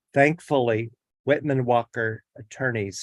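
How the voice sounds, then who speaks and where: An ordinary speaking voice goes at a fairly slow pace with ordinary pitch variation. The sound is dry and close, with no echo. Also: man. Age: 60s. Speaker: public hearing witness. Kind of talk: testimony. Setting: virtual hearing. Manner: reading prepared statement.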